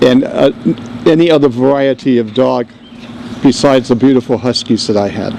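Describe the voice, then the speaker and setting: A man with an American accent at a fairly quick pace, fairly even intonation and long, frequent pauses, with noticeable background noise. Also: medium pitch for a man. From New York, South Bronx. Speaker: navy veteran, speaker at a dedication. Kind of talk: dedication speech.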